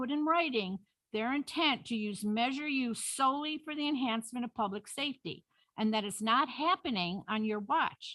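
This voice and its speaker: A woman talks with a high pitch and lively intonation. Her tone is bright and sharp. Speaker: public commenter. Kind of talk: public comment at council meeting. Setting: city council meeting. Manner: fast.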